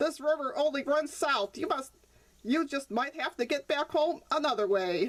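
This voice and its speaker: A woman uses a high-pitched, put-on character voice. She keeps a moderate pace. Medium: read story.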